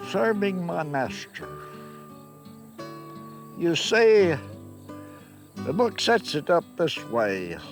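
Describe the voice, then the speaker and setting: A man with an American accent speaks at a very slow pace, with long, frequent pauses and music in the background. His voice is fairly high and swings very widely in pitch. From Kentucky. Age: 80s+. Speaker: farmer. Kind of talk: interview answer.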